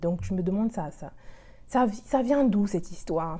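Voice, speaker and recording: A woman's dark, mellow tone at a fairly slow pace. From Republic of the Congo. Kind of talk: casual talk to camera.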